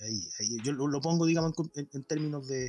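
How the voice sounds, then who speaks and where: An unremarkable speaking voice from a man, lively in intonation at a moderate pace, with a dry, close sound and no echo. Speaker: podcast panelist. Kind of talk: casual political chat.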